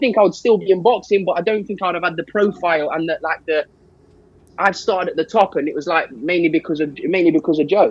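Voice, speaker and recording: A man with a London accent talks loudly at a very fast pace, high-pitched and energetic. His pitch varies in an ordinary way, and the sound is dry and close with no echo. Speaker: boxing manager. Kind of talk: podcast interview.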